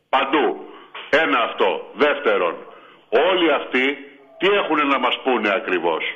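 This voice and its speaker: Audible room echo, noticeable background noise and a fairly slow pace. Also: man. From Crete, Chania. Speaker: sports fan caller. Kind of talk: call-in fan chat.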